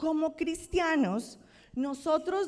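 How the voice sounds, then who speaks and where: A woman with a Colombian accent, a very slow pace and ordinary pitch variation. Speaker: pastor. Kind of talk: sermon. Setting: church.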